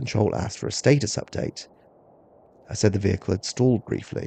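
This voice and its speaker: A man with a fairly low pitch and a dark, mellow tone speaks with vocal fry, captured in a dry, close sound with no echo. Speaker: horror story narrator. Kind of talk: slow-burn sleep story narration. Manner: calm, natural.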